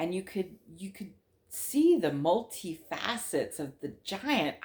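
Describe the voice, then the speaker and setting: A woman's voice with very wide pitch swings. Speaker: witch sharing supernatural experiences. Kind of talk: casual storytelling monologue. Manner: conversational with fillers.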